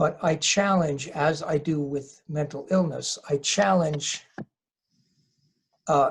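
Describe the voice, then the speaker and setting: At a fairly slow pace, a man with an American accent talks in a somewhat breathy voice at a fairly high pitch. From US Northeast, southern New Jersey. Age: 60s. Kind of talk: interview. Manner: halting.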